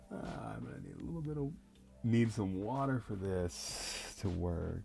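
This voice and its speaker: With music in the background and audible room echo, a man in a relaxed tone speaks at a moderate pace, his fairly low pitch making very wide swings. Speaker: artist painting live. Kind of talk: live painting stream chat. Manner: soft-spoken; casual, relaxed. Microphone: no lavalier, far from the mic.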